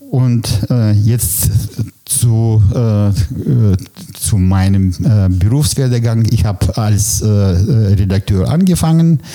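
Speaking very slowly with a Russian accent, the voice keeps a very even loudness over noticeable background noise. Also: man, fairly low pitch for a man, ordinary pitch variation. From former Soviet Union (ethnic German, Kazakhstan). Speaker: press photographer. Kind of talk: interview. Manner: hesitant, many fillers.

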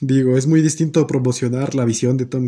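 A man speaks with a Mexican accent. His tone is dark and mellow. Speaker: podcast host. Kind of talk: casual chat.

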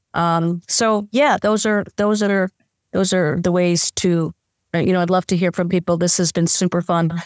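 An ordinary speaking voice from a woman with an American accent, fairly low in pitch, at a moderate pace with fairly even intonation and very even loudness, in a dry, close sound with no echo on a very clean recording with a silent background. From Phoenix area, US. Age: 60s. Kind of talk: casual interview chat. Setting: video recording.

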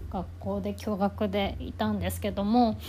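A woman speaks at a fairly slow pace. Music plays in the background, and there is audible room echo. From Kanagawa, Japan. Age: 30s. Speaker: podcaster. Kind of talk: self-introduction monologue. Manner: halting.

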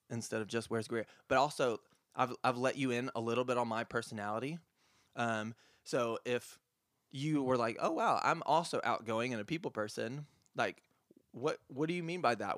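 A man's unremarkable speaking voice with an American accent, medium pitch and ordinary pitch variation at a moderate pace, in a very clean recording with a silent background and a dry, close sound with no echo. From South Carolina upstate. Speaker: high school English teacher. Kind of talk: casual chat.

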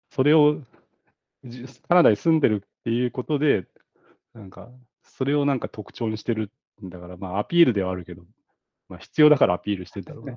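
A man at medium pitch talks at a very fast pace with lively intonation. His loudness swings widely, and he takes long, frequent pauses. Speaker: podcast co-host. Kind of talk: casual chat.

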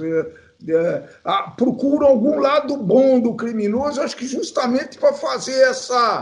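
A man's extremely high voice at a fairly slow pace. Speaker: podcast co-host. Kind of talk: casual chat.

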